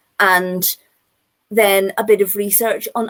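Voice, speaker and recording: The speaker is a woman with a Northern Irish accent. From Northern Ireland. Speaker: children's author. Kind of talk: panel talk. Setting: live online video event. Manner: animated.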